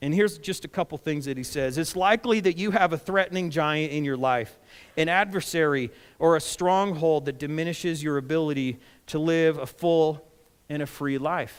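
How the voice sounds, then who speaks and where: Here a man talks in a plain, everyday voice at a fairly high pitch and moderate pace. His pitch variation is ordinary, and the recording is very clean with a silent background. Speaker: pastor. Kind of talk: sermon delivered to a congregation.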